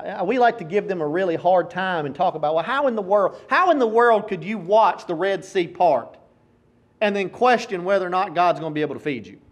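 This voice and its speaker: A man talks with a Tennessee accent. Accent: Southern US (Tennessee). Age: 40s. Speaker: preacher. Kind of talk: sermon.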